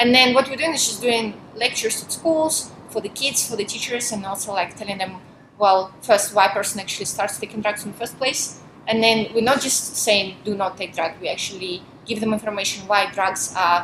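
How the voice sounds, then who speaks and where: Through noticeable background noise, a woman with a Russian accent speaks at a fairly quick pace, her medium pitch showing ordinary variation. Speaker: volunteer minister. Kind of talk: interview. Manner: talkative.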